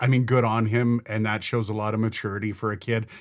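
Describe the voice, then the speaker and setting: At a moderate pace, a man with a Canadian accent speaks with a fairly low pitch. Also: very clean recording, silent background. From Canada. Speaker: hockey podcast co-host. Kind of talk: casual sports chat. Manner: animated.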